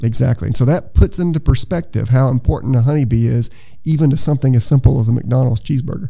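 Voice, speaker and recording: Talking at a very fast pace, a man uses a medium pitch with ordinary pitch variation and a dark, mellow, somewhat breathy tone. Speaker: entomology professor. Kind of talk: interview.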